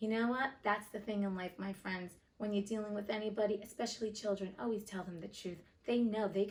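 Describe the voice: With fairly even intonation, the text is simply read out loud.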